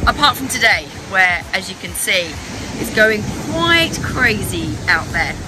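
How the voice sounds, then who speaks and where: At a fairly slow pace, a woman speaks over loud background noise, the sound dry with no echo. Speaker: travel guide vlogger. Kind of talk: casual vlog chat. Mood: cheerful, enthusiastic. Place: waterside. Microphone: phone near.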